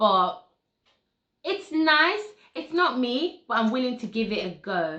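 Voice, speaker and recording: Speaking at a fairly slow pace with long, frequent pauses, a woman uses a high pitch, very wide pitch swings and a bright, sharp tone. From Nigeria. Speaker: beauty vlogger. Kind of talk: product review. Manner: casual, conversational.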